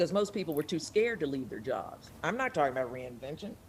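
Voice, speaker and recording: A woman speaks in an animated tone with very wide pitch swings and vocal fry. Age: 60s. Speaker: journalist, talk show host and actor. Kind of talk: casual chat.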